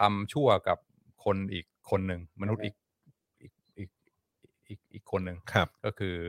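The man's voice has a very deep, low pitch and a dry, close sound with no echo. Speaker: academic commentator. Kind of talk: casual chat.

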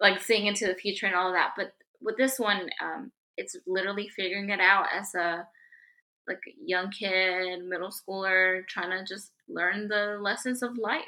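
Bright and sharp, this woman's voice carries a Spanish accent. She talks at a moderate pace. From Mexico. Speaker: guest, Hillary Duff fan. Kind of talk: casual chat.

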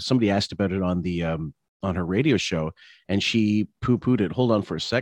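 A man's plain, everyday voice, dry and close with no echo, over a quiet background. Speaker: podcast host. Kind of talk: casual commentary podcast chat. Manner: casual, profane, chatty.

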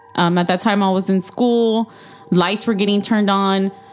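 Noticeable background noise accompanies a woman speaking in a Texan accent. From Texas. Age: 30s. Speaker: podcast guest. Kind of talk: casual chat, telling personal ghost stories.

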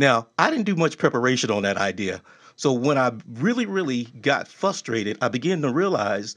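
An ordinary speaking voice from a man, medium in pitch, with lively intonation, a moderate pace and a quiet background. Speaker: talk show host. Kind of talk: casual interview. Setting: live stream. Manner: warm, conversational.

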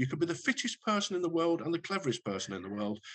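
A somewhat breathy man at a very fast pace, his pitch swinging very widely. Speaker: retired police detective. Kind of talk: casual interview chat. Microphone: poor sound quality in parts.

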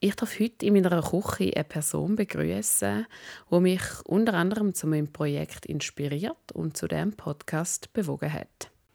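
In a very clean recording with a silent background, a woman with a fairly low pitch and a dark, mellow tone speaks at a moderate pace. Her intonation is lively, her voice has vocal fry, and the sound is dry and close with no echo. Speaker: podcast host. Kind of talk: scripted narration; casual chat. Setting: home kitchen. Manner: animated.

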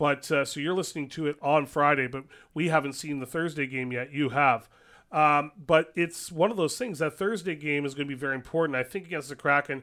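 A man with a Canadian accent has a bright, sharp tone and fairly high pitch. He speaks at a fairly quick pace. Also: ordinary pitch variation, very clean recording, silent background. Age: 40s. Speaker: radio host. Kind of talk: casual chat.

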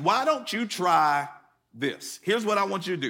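A man's high, bright, sharp voice, raised and projected, with lively intonation and an American accent. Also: very clean recording, silent background. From US Northeast, Connecticut. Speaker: pastor. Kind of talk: sermon. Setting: church service with live audience.

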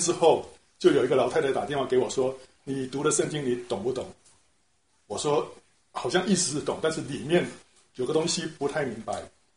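A man with a Taiwanese accent speaks at a moderate pace. His voice is somewhat breathy. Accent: Taiwanese Mandarin. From Taiwan, Taipei. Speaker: church member, retired translator. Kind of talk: personal faith testimony. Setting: church small group meeting.

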